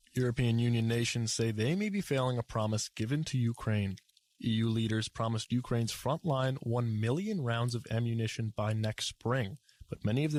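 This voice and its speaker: On a very clean recording with a silent background and a dry, close sound free of echo, a man with a plain, everyday voice talks fairly quickly at a medium pitch with ordinary pitch variation. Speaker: news anchor. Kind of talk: television news anchor delivery.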